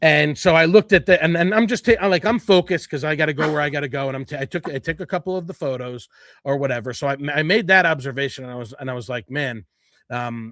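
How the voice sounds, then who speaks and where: In a New Jersey accent, a fairly high-pitched man talks very fast with lively intonation and big swings in loudness, on a very clean, dry, close recording with a silent background and no echo. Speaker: podcast host. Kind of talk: casual chat. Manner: animated.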